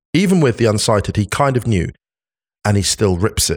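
A man with a normal speaking voice talks at a moderate pace and fairly low pitch. The recording is very clean, with a silent background. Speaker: football pundit. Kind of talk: casual chat.

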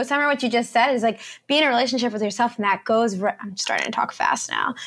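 The speaker talks at a very fast pace in an energetic tone, with ordinary pitch variation. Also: woman. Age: 20s. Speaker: nurse and fitness coach. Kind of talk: casual chat.

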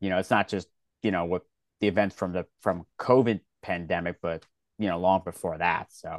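A man with a slight Philadelphia accent and a very deep, low pitch, fairly even intonation, a moderate pace and a dry, close sound with no echo. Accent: Philadelphia American, slight. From Philadelphia, US Northeast. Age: 30s. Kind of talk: casual interview chat.

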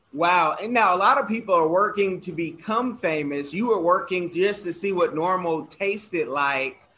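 A man uses a raised, projected voice. His pitch is high. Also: ordinary pitch variation, moderate pace. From Oakland, California. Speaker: podcast host. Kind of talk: interview. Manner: animated.

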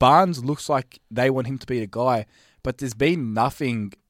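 In an Australian accent, a man at a medium pitch speaks at a fairly quick pace, recorded very cleanly with a silent background and a dry, close sound with no echo. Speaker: basketball pundit. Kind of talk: casual chat.

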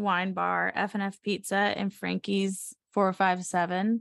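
A woman's medium-pitched voice with an American accent, at a very slow pace, over a quiet background. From US South, Savannah, Georgia. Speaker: designer. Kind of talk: casual chat.

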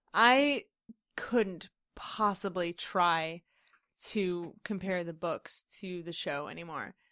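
A woman speaks very slowly in a fairly low pitch with ordinary variation and a bright, sharp tone. The recording is very clean, with a silent background. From Central Indiana, US (moved from Queens young). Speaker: podcast co-host. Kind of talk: casual chat.

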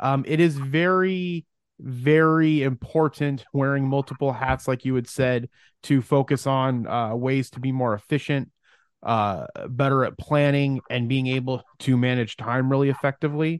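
In a dry, close sound with no echo and a quiet background, a man with an unremarkable speaking voice talks at a moderate pace and medium pitch, with fairly even intonation. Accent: American. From Arizona, Phoenix area. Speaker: entrepreneur and podcast network founder. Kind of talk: casual interview.

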